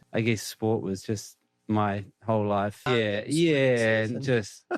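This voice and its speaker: In a New Zealand accent, a man talks at a very slow pace, his fairly low pitch showing ordinary pitch variation. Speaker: cricket coach and player. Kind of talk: podcast interview answer.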